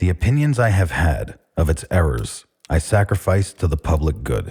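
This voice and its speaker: Very deep and low, a man's voice carries vocal fry and a dark, mellow tone along with lively intonation. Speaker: audiobook narrator. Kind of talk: speech reading.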